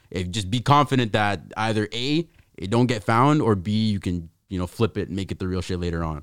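With lively intonation, an unremarkable speaking voice goes along at a fairly quick pace. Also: man, fairly low pitch for a man. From Canada, New Westminster. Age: 20s. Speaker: podcast host. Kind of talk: casual chat.

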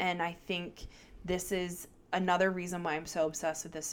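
With an American accent, a woman talks at a moderate pace. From Baltimore, US. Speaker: guest film fan. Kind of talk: casual chat. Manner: casual, profane.

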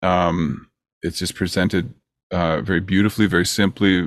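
A man with a Canadian accent speaks at a very deep, low pitch and a moderate pace, using ordinary pitch variation on a very clean recording with a silent background. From Ontario, Canada. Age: 50s. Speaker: record producer. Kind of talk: casual interview chat.

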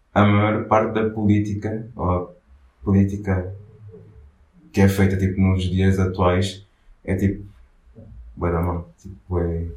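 Over audible room echo, a man speaks very slowly with long, frequent pauses, his fairly low, somewhat breathy voice flat and monotone. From Angola. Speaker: artist collective founder. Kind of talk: casual interview. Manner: halting, many fillers.

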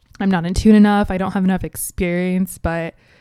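Speaking fairly quickly with an American accent, a woman at a medium pitch has a dark, mellow tone and fairly even intonation, captured in a very clean recording with a silent background. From US Midwest, Cincinnati, Ohio. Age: 20s. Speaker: podcast host. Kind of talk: casual solo talk.

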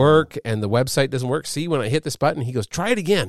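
A man at a fairly quick pace with very wide pitch swings, in a dry, close recording with no echo and a very clean, silent background. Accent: Canadian. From Canada. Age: 50s. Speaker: podcast host. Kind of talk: casual chat. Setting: studio. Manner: halting.

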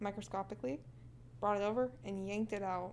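The speaker is a woman with an American accent. Her medium pitch shows ordinary variation. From US Midwest (Kansas). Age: 20s. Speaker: film student. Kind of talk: casual chat.

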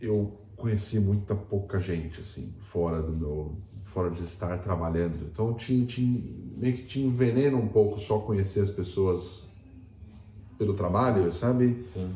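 Heard with audible room echo, a man speaks at a fairly slow pace in a somewhat breathy, fairly low voice with ordinary pitch variation. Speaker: podcast co-host. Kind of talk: casual chat.

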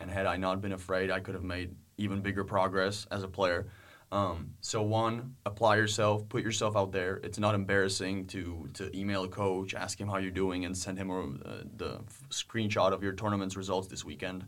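In a Czech accent, a man with a fairly low pitch talks at a moderate pace in a monotone, flat intonation, with audible room echo. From Czech Republic, Prague. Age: 20s. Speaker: university student tennis player. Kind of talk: interview.

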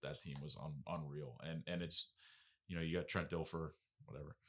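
On a very clean recording with a silent background, a man with an American accent uses a very deep, low pitch, a bright, sharp tone and vocal fry. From New York. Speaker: high school football coach. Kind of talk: casual interview. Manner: halting, many fillers.

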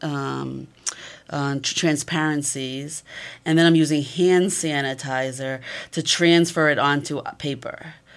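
Very clean recording, silent background. A woman speaks at a fairly slow pace in a very deep, low pitch, with fairly even intonation. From Massachusetts. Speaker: photography professor. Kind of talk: interview.

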